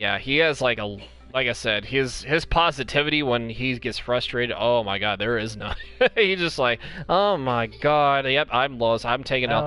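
A man speaks at a moderate pace with ordinary pitch variation. The sound is dry with no echo, and faint music plays in the background. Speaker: gaming vlogger. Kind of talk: casual vlog chat. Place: home room. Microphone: headset.

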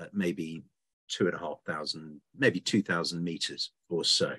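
The background is hushed. A man does the talking. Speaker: presenter. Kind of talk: lecture. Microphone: webcam.

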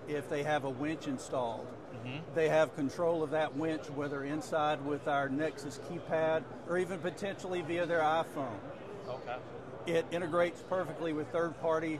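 Speaking at a moderate pace, a man keeps his intonation fairly even as noticeable background noise continues. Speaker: company sales executive. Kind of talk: interview answer. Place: hall. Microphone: lapel.

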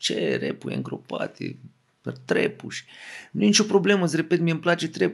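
A man's high voice at a fairly quick pace, with long, frequent pauses and ordinary pitch variation. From Romania, Craiova (Oltenia). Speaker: rapper. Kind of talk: casual chat.

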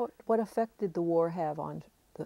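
At a fairly quick pace, the voice has a dark, mellow tone and ordinary pitch variation, with a dry sound and no echo. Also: woman. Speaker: oral history interviewer. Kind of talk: interview questions. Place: studio.

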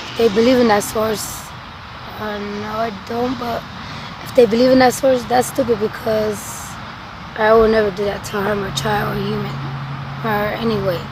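Against noticeable background noise, a woman with a fairly high pitch speaks at a moderate pace in a monotone, flat intonation, with long, frequent pauses, big swings in loudness and a dry sound with no echo. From Sonora, Mexico. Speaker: homeless person in addiction. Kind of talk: interview. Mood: subdued, reflective. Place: open country. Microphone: camera far.

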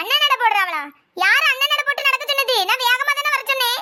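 A woman uses a cartoonish character voice with extremely high pitch. She talks at a fairly quick pace with ordinary pitch variation and very even loudness. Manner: scolding, exasperated.

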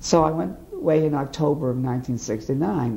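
Over noticeable background noise, a man speaks in an American accent. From US Northeast (Boston area, Massachusetts). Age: 50s. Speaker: war veteran. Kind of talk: oral history interview.

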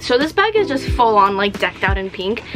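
Clear music plays in the background as a woman speaks. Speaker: collector vlogger. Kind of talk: casual vlog chat. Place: home room.

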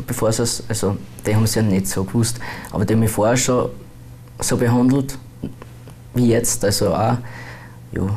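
A man at a fairly quick pace, with long, frequent pauses, ordinary pitch variation, very even loudness and light background noise. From Austria, Bruck; Austria. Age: 20s. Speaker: transgender YouTuber; interviewee. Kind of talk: interview. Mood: calm, a bit reserved. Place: studio. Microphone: lapel.

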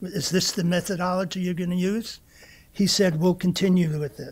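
A man speaks with a high voice. His intonation stays fairly even. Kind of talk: personal testimony speech. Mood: warm, reflective. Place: hall. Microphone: podium.

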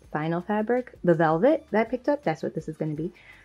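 The voice shows ordinary pitch variation. Faint music plays in the background. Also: woman. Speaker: sewing vlogger. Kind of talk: casual vlog chat. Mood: upbeat, laughing at times. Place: home room. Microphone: phone near.

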